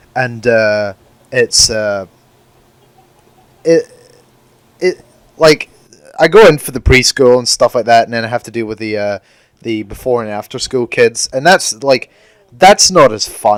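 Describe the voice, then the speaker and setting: In a Scottish accent, a man of medium pitch speaks at a fairly slow pace with long, frequent pauses, big swings in loudness and ordinary pitch variation, recorded with a dry, close sound and no echo. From Scotland. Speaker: podcast co-host. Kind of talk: casual chat. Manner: halting, stammering.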